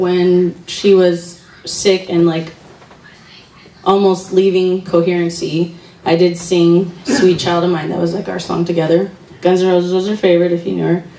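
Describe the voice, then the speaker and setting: Audible room echo surrounds a woman's fairly low voice. Her intonation is monotone and flat. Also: moderate pace. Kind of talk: eulogy speech. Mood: emotional, grieving. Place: hall. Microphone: handheld.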